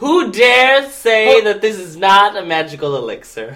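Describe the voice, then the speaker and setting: A man puts on a character voice with a high pitch and lively intonation. His loudness swings widely at a moderate pace. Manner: boastful, theatrical.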